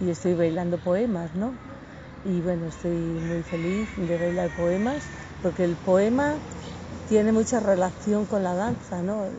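Noticeable background noise around a woman's medium-pitched voice, fairly slow, with ordinary pitch variation. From Asturias, Spain. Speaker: belly dance teacher. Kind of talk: interview. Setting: outdoors in a park.

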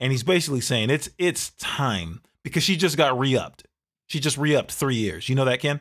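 A man with vocal fry and lively intonation, on a very clean recording with a silent background. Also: fairly high pitch for a man, fairly quick pace. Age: 40s. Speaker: podcast co-host. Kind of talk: casual chat.

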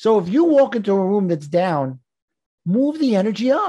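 A man's dark, mellow tone with a slightly husky edge, high pitch, big pitch swings and a moderate pace

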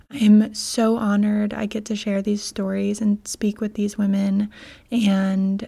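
A woman speaks at a moderate pace with a fairly high pitch and flat, monotone intonation. Her voice is somewhat breathy, with a dark, mellow tone. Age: 20s. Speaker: podcast host. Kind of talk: scripted intro; casual interview.

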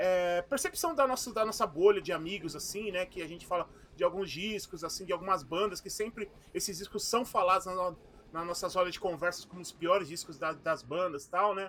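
The voice has a bright, sharp tone, moves at a fairly quick pace with ordinary pitch variation, and shows big swings in loudness. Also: man, high pitch for a man. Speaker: podcast co-host. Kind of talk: casual chat.

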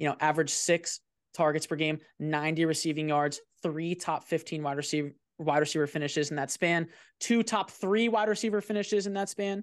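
Against a quiet background, a man with an American accent talks at a fairly quick pace. He has an ordinary speaking voice, pitched fairly high. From New Jersey. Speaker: fantasy football content creator. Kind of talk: casual chat. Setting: video call.

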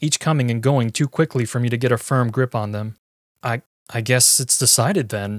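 This is an unforced reading voice with ordinary pitch variation over a quiet background.

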